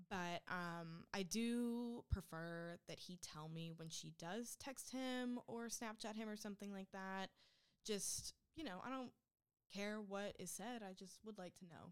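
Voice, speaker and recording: The delivery is a normal speaking voice with ordinary pitch variation. The pace is fairly slow. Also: woman, medium pitch for a woman. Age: 20s. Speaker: guest co-host. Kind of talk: casual chat.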